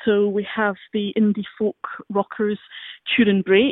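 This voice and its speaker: A woman speaks with a Scottish accent. Her pitch sits at a medium level. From Scotland. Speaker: arts venue programmer. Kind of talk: radio interview.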